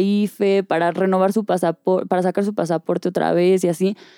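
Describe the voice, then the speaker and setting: In a dry, close sound with no echo, a woman speaks fairly quickly with a dark, mellow tone at a medium pitch. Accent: Mexican. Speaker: podcast co-host. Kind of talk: casual chat.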